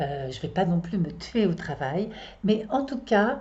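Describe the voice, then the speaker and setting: Here a woman speaks at a very slow pace. Her voice is somewhat breathy. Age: 60s. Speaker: astrologer and psychotherapist. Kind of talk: casual monologue to viewers. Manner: halting, many hesitations.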